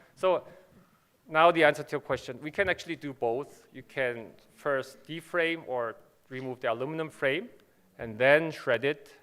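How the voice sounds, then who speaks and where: A man speaks in a Korean accent at a fairly high pitch. He takes long, frequent pauses, with ordinary pitch variation. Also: moderate pace. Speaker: company manager presenting at a conference. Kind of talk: conference presentation and Q&A. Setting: conference stage with audience.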